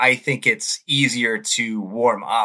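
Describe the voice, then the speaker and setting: Speaking in a bright, sharp tone, a man with an American accent keeps to a medium pitch. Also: very clean recording, silent background. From Waltham, Massachusetts (Boston area). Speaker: ultramarathon runner in recovery from alcoholism. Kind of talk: interview, personal testimony.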